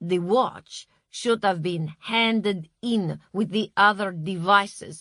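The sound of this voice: Over quiet surroundings, someone reads in an unforced voice whose pitch shifts in an ordinary way.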